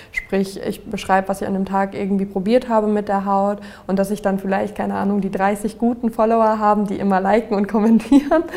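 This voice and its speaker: Fairly quick speech with fairly even intonation and noticeable background noise. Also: woman, medium pitch for a woman. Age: 20s. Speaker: social media influencer on acne. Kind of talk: interview, personal testimony.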